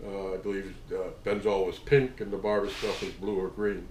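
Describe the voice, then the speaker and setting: Fairly low male speech at a moderate pace, with audible room echo around it. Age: 60s. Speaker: tattoo artist. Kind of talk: casual storytelling monologue. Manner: halting, many fillers.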